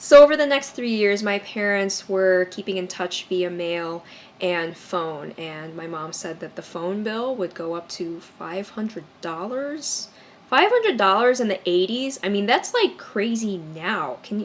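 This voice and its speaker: A woman with a Chicago accent speaks at medium pitch and a fairly slow pace, her intonation lively and her loudness swinging widely. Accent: Chicago American English. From US Midwest, Chicago area. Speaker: YouTuber. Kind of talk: personal storytelling vlog.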